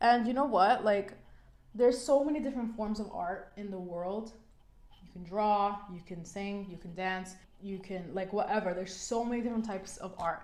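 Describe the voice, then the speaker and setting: Audible room echo surrounds a woman speaking in a New York accent at a moderate pace. Her pitch is medium, with ordinary pitch variation. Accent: New York American. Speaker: beauty vlogger. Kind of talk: makeup tutorial chat. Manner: casual, filler-heavy; animated.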